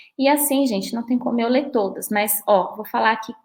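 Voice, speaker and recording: Her intonation is fairly even. The woman's pitch is fairly high. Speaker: lawyer. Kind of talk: lecture. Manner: fast.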